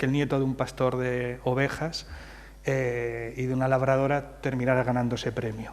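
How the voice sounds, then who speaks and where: Over noticeable background noise and audible room echo, a man speaks at a moderate pace in a flat monotone. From Madrid, Spain, of Andalusian parents from Jaén. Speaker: playwright. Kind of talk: interview on stage at literary festival. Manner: hesitant, many fillers.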